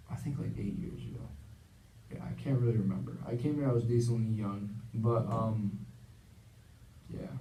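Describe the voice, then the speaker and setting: Long, frequent pauses break up a man's speech at a medium pitch with ordinary pitch variation. Audible room echo surrounds his voice. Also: moderate pace. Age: 20s. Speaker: counseling client in a practice session. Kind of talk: role-played counseling session. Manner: halting, many fillers.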